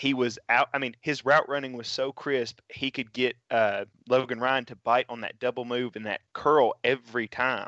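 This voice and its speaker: A man with a Tennessee accent speaks at a medium pitch in a monotone, flat way, with hardly any pauses and big swings in loudness. The sound is dry and close with no echo, and the background is quiet. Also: moderate pace. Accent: Southern US (Tennessee). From West Tennessee, Dyersburg. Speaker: sports podcast co-host and writer. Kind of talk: casual chat.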